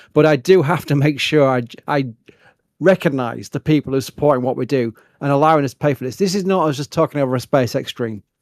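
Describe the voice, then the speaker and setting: Talking at a very fast pace with a Yorkshire accent, a man with a fairly high pitch and ordinary pitch variation comes through in a dry, close sound with no echo. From Yorkshire, northern England. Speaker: livestream host. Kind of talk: live stream commentary and Q&A. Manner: mumbling at times.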